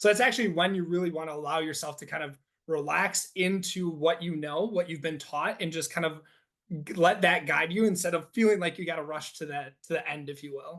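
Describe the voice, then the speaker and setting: Speaking with an American accent, a man uses a high pitch with ordinary pitch variation. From northeast Wisconsin. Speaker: athletic training professor and researcher. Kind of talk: podcast interview. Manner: fast.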